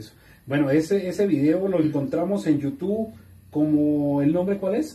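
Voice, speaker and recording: With lively intonation and a dark, mellow tone, a man speaks at a moderate pace. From Colombia. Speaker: online talk show host. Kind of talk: live stream interview. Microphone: camera far.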